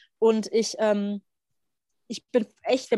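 A normal speaking voice from a woman, fairly high in pitch with fairly even intonation, in a dry, close sound with no echo. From Germany. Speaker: podcast co-host. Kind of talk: casual chat.

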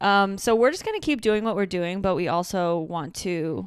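A woman with a slight Michigan accent speaks on a very clean recording with a silent background. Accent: Michigan Midwestern, slight. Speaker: podcast co-host. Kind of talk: casual chat. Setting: in person, same room.

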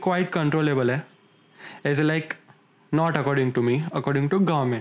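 Over noticeable background noise, a man with a fairly high voice keeps his loudness very even and leaves long, frequent pauses. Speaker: podcast co-host. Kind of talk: casual chat.

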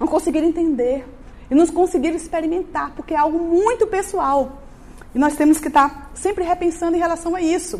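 Her voice extremely high, a woman speaks at a fairly quick pace with ordinary pitch variation. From Bahia, Brazil. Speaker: missionary preacher. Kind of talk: sermon.

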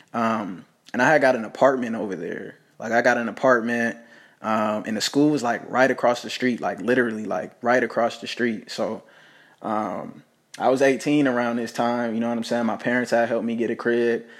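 A man with a plain, everyday voice and an American accent speaks fairly quickly at medium pitch with fairly even intonation, on a very clean recording with a silent background. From Las Vegas, Nevada. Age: 20s. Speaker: podcaster and entrepreneur. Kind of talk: personal storytelling monologue. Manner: casual, filler-heavy.

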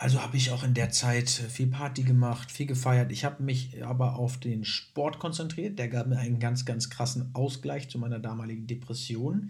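Somewhat breathy and at medium pitch, a man talks at a moderate pace with hardly any pauses and fairly even intonation in a room with audible echo. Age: 20s. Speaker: podcast host and student. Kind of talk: personal monologue.

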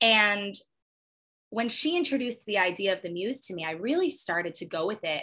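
Lively intonation marks this woman's medium-pitched voice, which has a bright, sharp tone and an American accent. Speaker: singer-songwriter. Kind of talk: casual interview chat.

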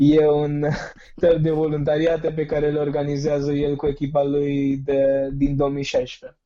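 A man speaks at a fairly slow pace with a fairly high pitch and a dark, mellow tone. His intonation is monotone and flat. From India. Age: 20s. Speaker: youth civic activist. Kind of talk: interview.

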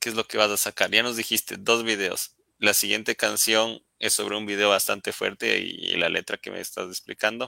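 The sound is dry and close, with no echo, and the tone is bright and sharp. Vocal fry runs through a monotone, flat delivery. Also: man, fairly low pitch for a man, moderate pace. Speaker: live stream host. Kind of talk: casual interview. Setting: live stream on social media.

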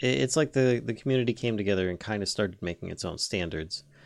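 A man speaks at a fairly quick pace in an ordinary speaking voice, fairly low in pitch, with ordinary pitch variation. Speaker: podcast co-host. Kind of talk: casual podcast chat.

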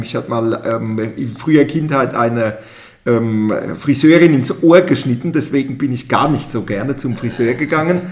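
Speaking at a moderate pace, a man uses a medium pitch with ordinary pitch variation. Noticeable background noise can be heard. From Palatinate, Germany (Pirmasens). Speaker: mayor. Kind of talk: interview. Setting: studio.

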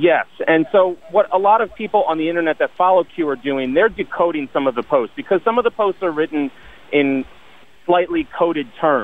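A man's high-pitched voice at a fairly quick pace. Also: lively intonation. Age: 30s. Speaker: caller. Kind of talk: call-in discussion. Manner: articulate.

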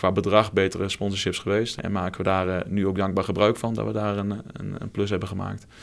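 With a Twente accent, a man speaks at a fairly quick pace and a fairly low pitch. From Twente, eastern Netherlands. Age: 20s. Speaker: football club marketing manager. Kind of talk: casual interview. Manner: hesitant with frequent fillers and repetitions.

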